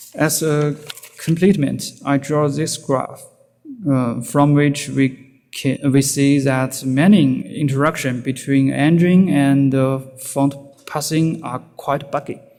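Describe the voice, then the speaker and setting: A man speaks very slowly in a Chinese accent, his fairly high pitch held in a fairly even intonation. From China. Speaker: security researcher. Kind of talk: conference talk. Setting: stage with audience. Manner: halting, many fillers.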